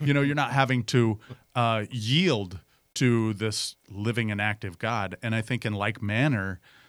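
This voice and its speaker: At a moderate pace, a man with an American accent and an ordinary speaking voice talks at medium pitch with ordinary pitch variation on a very clean recording with a silent background. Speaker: pastor and podcast host. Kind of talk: casual chat.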